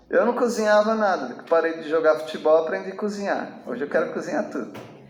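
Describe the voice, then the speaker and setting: Noticeable background noise and audible room echo surround a man with a high pitch. He speaks at a fairly quick pace with lively intonation. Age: 60s. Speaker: pastor. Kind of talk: sermon. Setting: church with congregation. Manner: conversational, animated.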